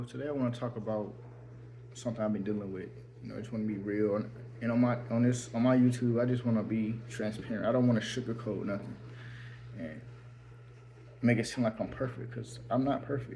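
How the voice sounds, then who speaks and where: Amid audible room echo, a somewhat breathy man talks at a very fast pace in a monotone, flat intonation, with long, frequent pauses. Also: medium pitch for a man. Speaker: faith vlogger. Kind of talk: personal vlog testimony. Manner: halting.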